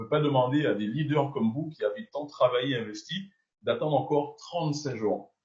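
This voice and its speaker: Somewhat breathy speech from a man, fairly high in pitch and moderate in pace. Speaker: network marketing leader. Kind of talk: business announcement. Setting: video call.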